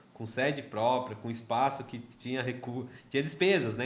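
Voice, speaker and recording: There is audible room echo as a man talks at a medium pitch with fairly even intonation. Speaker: podcast host, social entrepreneur. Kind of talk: casual interview. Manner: halting, many repetitions.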